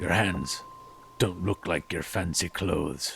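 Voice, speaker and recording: A man puts on a character voice with a very deep, low pitch and ordinary pitch variation. He goes at a fairly slow pace, with clear music in the background. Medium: audio drama. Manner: cold, blunt, suspicious.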